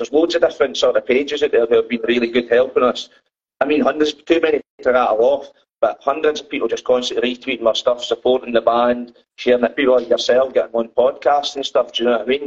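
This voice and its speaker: A man with a Dundee accent at a fairly quick pace. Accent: Scottish (Dundee). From Scotland, Dundee. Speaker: band musician. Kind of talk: casual interview chat. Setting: video call from phone.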